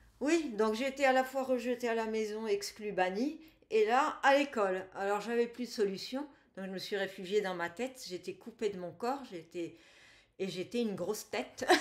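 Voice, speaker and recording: Speaking at a fairly slow pace with long, frequent pauses, a woman uses a medium pitch, lively intonation and big swings in loudness. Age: 60s. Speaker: energy healer, former engineer. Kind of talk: interview testimony. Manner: halting.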